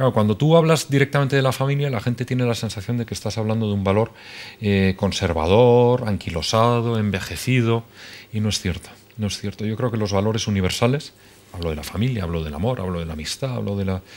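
This man's pitch varies in an ordinary way. He speaks very fast. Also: fairly low pitch for a man. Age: 30s. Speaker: novelist; guest. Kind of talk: interview. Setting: TV studio. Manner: hesitant. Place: studio.

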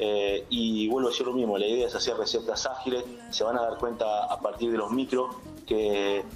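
Over faint music in the background, a man at a fairly low pitch talks at a moderate pace with fairly even intonation.

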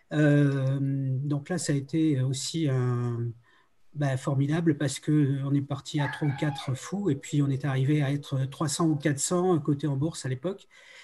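At a moderate pace, a man speaks in a fairly high pitch with a somewhat breathy, dark, mellow tone and fairly even intonation. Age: 70s. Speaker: video game creator and music producer; video game creator. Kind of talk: round table discussion. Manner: halting, many hesitations. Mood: reflective, nostalgic. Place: home room. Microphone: video call.

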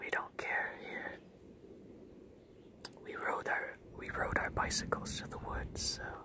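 A man whispers in a calm, relaxed tone. He goes very slowly, with long, frequent pauses. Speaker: ASMR creator. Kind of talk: ASMR wine-drinking talk to camera. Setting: outdoors in the woods. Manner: calm, relaxed, casual. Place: forest. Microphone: camera far.

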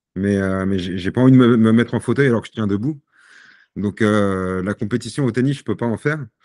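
A man with a fairly low pitch speaks at a fairly quick pace with ordinary pitch variation, in a dry sound with no echo and a quiet background. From Paris region, Seine-Saint-Denis; Paris region. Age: 40s. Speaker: sportsman with Parkinson's disease; podcast guest. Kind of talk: podcast interview. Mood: calm, reflective. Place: home room. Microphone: video call.

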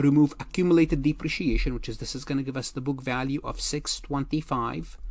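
The speech moves at a fairly quick pace with a slightly mellow tone. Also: man.

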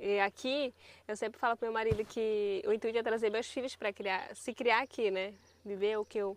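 A woman with a fairly high pitch speaks at a moderate pace and with fairly even intonation. The sound is dry with no echo, over light background noise. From northern Brazil (Pará). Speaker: riverside community resident. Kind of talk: casual chat. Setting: outdoors. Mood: warm, nostalgic. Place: waterside.

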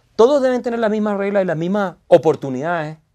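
A man talks at a fairly quick pace with lively intonation. His pitch is high, and the background is quiet. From Chile. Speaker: lawyer and author; lawyer. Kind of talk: interview. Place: studio.

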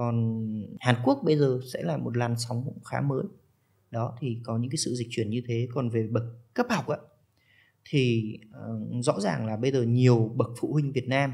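Over a quiet background, a man speaks at a moderate pace in a somewhat breathy voice with ordinary pitch variation. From Vietnam. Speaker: study-abroad consultant; podcast guest. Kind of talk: interview. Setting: studio. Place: studio. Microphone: studio mic.

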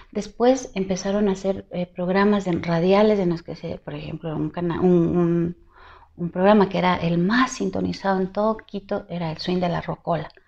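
A woman speaks at a moderate pace with fairly even intonation. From Ecuador. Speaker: singer; interviewee. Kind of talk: interview. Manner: halting. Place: home room. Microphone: lapel.

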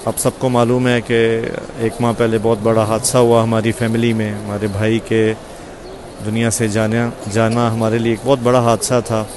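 A man at a fairly slow pace in a monotone, flat intonation, dry sound with no echo, and noticeable background noise. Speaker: speaker. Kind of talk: casual vlog chat. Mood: somber, grieving, prayerful. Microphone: earbuds.

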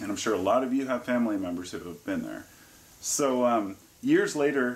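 The man's delivery keeps to a moderate pace. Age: 40s. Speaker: YouTuber sharing personal drug-use experience; herbalist vlogger. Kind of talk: informal monologue to camera; casual vlog chat. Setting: living room by a fire. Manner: hesitant, with frequent fillers. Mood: calm, reflective. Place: home room. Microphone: phone near.

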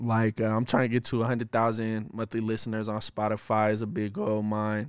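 At a moderate pace and a medium pitch, a man speaks in a dry sound with no echo against a quiet background. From Denver, Colorado. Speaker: rapper; podcast guest. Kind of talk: casual chat. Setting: studio. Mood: relaxed, casual. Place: studio. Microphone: studio mic.

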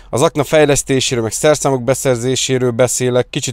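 Over a quiet background, a man talks at a very fast pace with fairly even intonation, the sound dry with no echo. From Hungary. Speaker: car detailing youtuber; car detailing vlogger. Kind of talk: casual vlog talk to viewers; casual vlog chat. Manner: casual, fast, with fillers. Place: car. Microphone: lapel.

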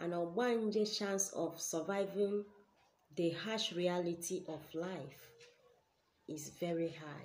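A woman with a Nigerian accent speaks at a very slow pace, with long, frequent pauses. Her pitch is fairly low and her intonation fairly even. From Nigeria, Ebonyi State. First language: Igbo. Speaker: spiritual teacher and healer; spiritual teacher. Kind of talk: spiritual teaching video. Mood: earnest, explanatory. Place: home room. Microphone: webcam.

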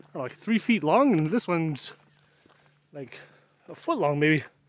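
A man with an Upper Midwest accent, lively intonation at a moderate pace, and a dry sound with no echo. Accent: Upper Midwest American. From US Midwest, northern Wisconsin. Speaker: gaming streamer. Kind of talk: casual live-stream chat. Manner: rambling. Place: open country. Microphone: phone near.

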